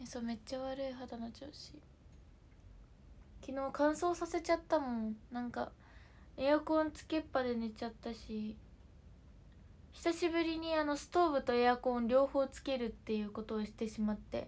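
Spoken at a moderate pace with ordinary pitch variation, the voice swings widely in loudness and breaks off for long, frequent pauses. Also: woman. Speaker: livestreamer. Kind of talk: casual livestream chat. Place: home room. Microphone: phone near.

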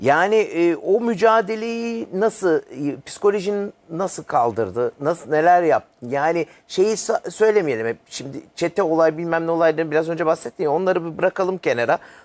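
With hardly any pauses, a man speaks in a high pitch and lively intonation, and the sound is dry and close with no echo. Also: moderate pace. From Germany, Düsseldorf; moved to Turkey as a teen. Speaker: TV interviewer. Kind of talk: casual interview chat.

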